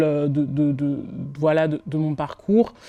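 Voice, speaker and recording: A woman's very deep, low voice with a dark, mellow tone, at a fairly slow pace. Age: 20s. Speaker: PR communication manager, business school alumna. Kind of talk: testimonial interview. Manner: hesitant, many filler sounds.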